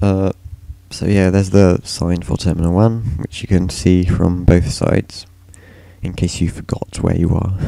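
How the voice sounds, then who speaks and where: Monotone, flat intonation at a moderate pace. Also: man, very deep, low pitch for a man. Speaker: gaming youtuber. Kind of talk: casual gameplay walkthrough narration. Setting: screen recording narration. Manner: casual, filler-heavy, hesitant.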